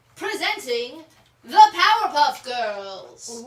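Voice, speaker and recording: A put-on character voice moves at a very slow pace. Its pitch swings very widely. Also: woman, extremely high pitch for a woman. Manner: theatrical, upbeat announcing.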